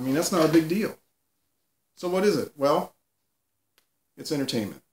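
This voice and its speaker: A man talks with ordinary pitch variation. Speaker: youtube commentator. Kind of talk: casual commentary monologue. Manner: halting, many fillers.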